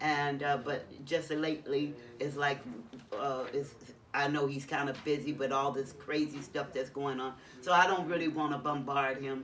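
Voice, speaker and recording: At a moderate pace, a woman speaks with a very deep, low pitch and monotone, flat intonation. The room echo is audible. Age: 60s. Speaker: formerly homeless person in shelter hotel. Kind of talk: interview testimony. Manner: halting.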